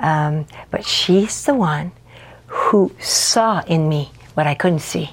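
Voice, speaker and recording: A woman's fairly low voice at a very slow pace, with ordinary pitch variation and noticeable background noise. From French Canada. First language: French. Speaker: pastor. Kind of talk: casual interview chat.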